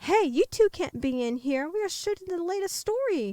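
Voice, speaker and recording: A woman puts on a squeaky character voice at an extremely high pitch, with very wide pitch swings. The pace is moderate. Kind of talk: broadcast news delivery. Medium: read story. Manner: professional, measured.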